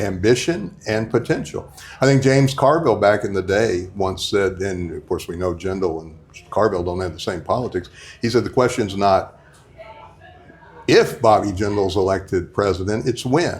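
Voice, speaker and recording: Over noticeable background noise, a man with a fairly low pitch and an American accent speaks at a moderate pace with ordinary pitch variation. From Louisiana. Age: 60s. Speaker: radio host. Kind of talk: casual interview conversation. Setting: diner.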